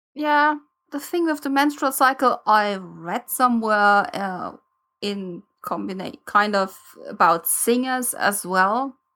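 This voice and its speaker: A woman's fairly high, bright, sharp voice with a non-native accent, very slow pace and lively intonation. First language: not English. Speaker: podcast co-host. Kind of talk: casual chat. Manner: halting, many fillers.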